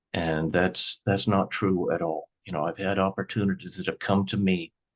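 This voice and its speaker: A man with a Midwestern US accent, fairly slow and monotone with flat intonation, in a dry, close sound with no echo. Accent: US Midwest. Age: 60s. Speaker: grocery store owner. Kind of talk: interview.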